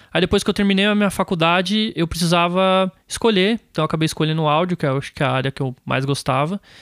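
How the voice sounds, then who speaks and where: A man's high-pitched voice at a very fast pace with ordinary pitch variation, dry and close with no echo, on a very clean recording with a silent background. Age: 20s. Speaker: music producer and studio owner. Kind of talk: casual interview.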